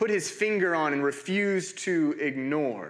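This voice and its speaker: A man speaks with an American accent at a fairly high pitch. His tone is bright and sharp, with lively intonation. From Oklahoma, US. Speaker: pastor. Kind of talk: sermon. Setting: church.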